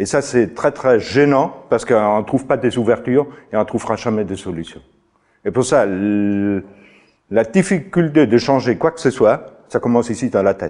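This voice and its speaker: Against a quiet background, a man speaks with lively intonation in a dark, mellow tone. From outside France. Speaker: farmer and trainer. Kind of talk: lecture. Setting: stage with audience. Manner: halting. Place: meeting room.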